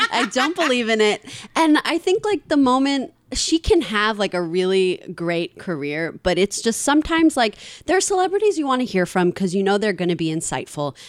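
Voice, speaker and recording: Speaking fairly quickly in a New York accent, a woman makes very wide pitch swings around a medium pitch on a very clean recording with a silent background. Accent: New York American English. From Queens, New York City. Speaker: podcast host. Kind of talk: casual chat.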